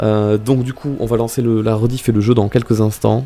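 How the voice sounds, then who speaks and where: With music in the background, a man talks at a very fast pace in a fairly low voice with fairly even intonation. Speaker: streamer. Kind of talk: casual live stream chat. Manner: speaking quieter than usual, reserved; hesitant, many fillers and repetitions.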